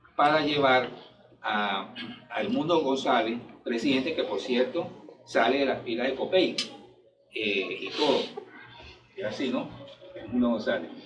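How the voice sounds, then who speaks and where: Over music in the background and audible room echo, a man with a medium pitch speaks at a fairly slow pace with long, frequent pauses. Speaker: party member speaker. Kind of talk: speech at political event. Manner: halting.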